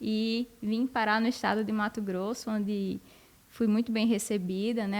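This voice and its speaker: A woman with a northeastern Brazilian accent talks at a moderate pace with a fairly high pitch and monotone, flat intonation. The recording is very clean with a silent background. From Brazil, northeast (Rio Grande do Norte). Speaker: university professor of animal science. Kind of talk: podcast interview.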